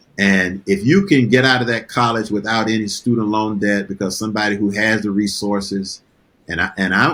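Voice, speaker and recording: On a very clean recording with a silent background, a man with a fairly low pitch and an ordinary speaking voice talks at a fairly quick pace with fairly even intonation. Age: 60s. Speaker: retired pastor. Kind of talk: interview.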